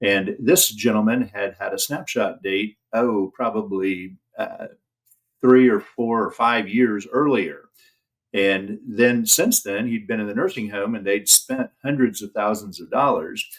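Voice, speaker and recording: A man with a Midwestern American accent talks at a fairly slow pace, his medium pitch moving with ordinary variation. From Indiana, US Midwest. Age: 60s. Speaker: elder law attorney. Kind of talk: interview. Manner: halting, frequent fillers.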